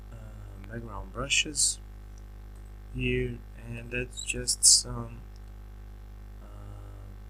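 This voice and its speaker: Very slow, with long, frequent pauses and big swings in loudness, a man speaks in a very deep, low voice against audible room echo and music in the background. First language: not English. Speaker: graphic designer making a software tutorial. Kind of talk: tutorial. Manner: halting, many fillers and restarts.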